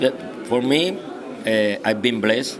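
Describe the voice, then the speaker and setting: Amid audible room echo and background music, a man speaks at a fairly slow pace. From Cuba. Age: 60s. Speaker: boxing trainer. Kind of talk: interview. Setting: press conference venue. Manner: halting.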